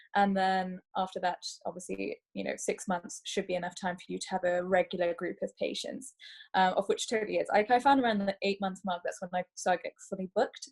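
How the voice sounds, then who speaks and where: Breathy to some degree, a woman talks at a fairly quick pace with a dry, close sound and no echo. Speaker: doctor. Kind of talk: webinar presentation. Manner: fast.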